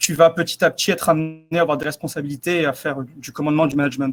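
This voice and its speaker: A man with a slight southern French accent at a very fast pace, music in the background. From southeastern France. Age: 20s. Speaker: naval cyber defence officer. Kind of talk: interview. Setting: webinar broadcast.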